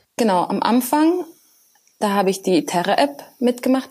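A woman is speaking at a moderate pace. Her pitch swings very widely. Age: 20s. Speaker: computer science student and working student developer. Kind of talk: casual interview.

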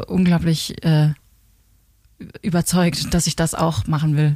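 In a very clean recording with a silent background, a woman's dark, mellow, somewhat breathy voice comes through dry and close with no echo. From Germany, near Alsace, Rhine region. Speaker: singer and songwriter. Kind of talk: interview. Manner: hesitant, many fillers.

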